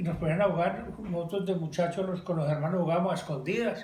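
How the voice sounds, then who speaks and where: With noticeable background noise and audible room echo, a man speaks in a high pitch with fairly even intonation. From Colombia, coffee region (Belalcázar, Caldas). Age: 70s. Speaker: interviewee recalling childhood. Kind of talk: casual family interview.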